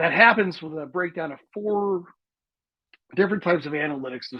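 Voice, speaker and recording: This man talks at a fairly quick pace. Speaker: guest speaker on learning data. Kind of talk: lecture. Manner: fast.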